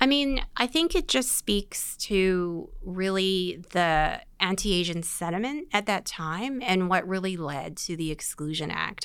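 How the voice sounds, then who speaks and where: A woman's ordinary speaking voice, medium in pitch, with lively intonation, a fairly slow pace, hardly any pauses, and a very clean recording over a silent background. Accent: Canadian. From Vancouver, Canada. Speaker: museum director. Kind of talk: interview.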